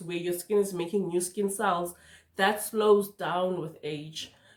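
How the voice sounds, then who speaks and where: A woman talks at a fairly slow pace with ordinary pitch variation. She has a plain, everyday voice. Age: 30s. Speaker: skincare youtuber. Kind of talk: tutorial. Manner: casual, conversational.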